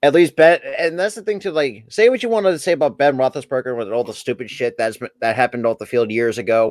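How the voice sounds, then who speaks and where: In a dry, close sound with no echo, a man with an ordinary speaking voice and a fairly high pitch talks at a fairly quick pace with lively intonation. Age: 20s. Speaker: sports podcast co-host. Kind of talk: casual chat.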